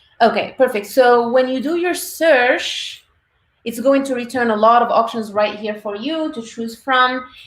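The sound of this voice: Audible room echo surrounds a woman speaking fairly slowly at a fairly high pitch with ordinary variation.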